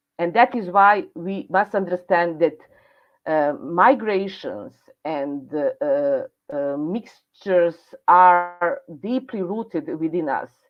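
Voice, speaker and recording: Very slow pace with lively intonation. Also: woman, fairly low pitch for a woman. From Serbia. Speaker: speaker at online event. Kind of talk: presentation. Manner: halting.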